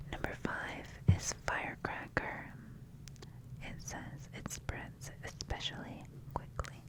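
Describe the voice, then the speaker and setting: Whispering in a soothing tone at a very slow pace, with long, frequent pauses, the speaker is heard against noticeable background noise. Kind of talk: ASMR magazine reading. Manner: whispered; soft-spoken, soothing.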